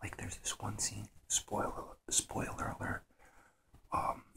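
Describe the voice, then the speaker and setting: Whispering at a very slow pace, a man is heard over noticeable background noise. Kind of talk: ASMR show-and-tell talk, half whispered half soft spoken. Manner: soft-spoken, half whispered.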